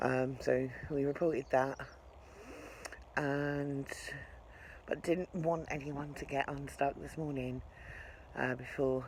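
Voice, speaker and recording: A soft-spoken woman talks in an English accent with a very deep, low pitch. Her intonation is monotone and flat. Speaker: narrowboat vlogger. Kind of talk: vlog narration. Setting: outdoors. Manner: casual.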